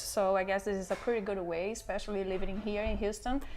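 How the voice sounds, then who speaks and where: A woman's fairly even delivery in a Portuguese accent. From Brazil. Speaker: interior designer. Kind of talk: interview. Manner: halting.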